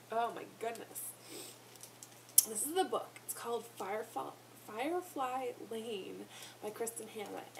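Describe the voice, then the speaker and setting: A woman with a fairly high pitch and lively intonation, at a fairly slow pace with long, frequent pauses and big swings in loudness, over noticeable background noise. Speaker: book reviewer vlogger. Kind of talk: casual vlog book review.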